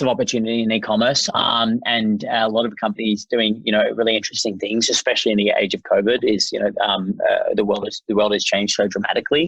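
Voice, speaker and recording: Very fast talking from a man with an Australian accent. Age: 30s. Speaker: tech company founder. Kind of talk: podcast interview. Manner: halting, many fillers and restarts.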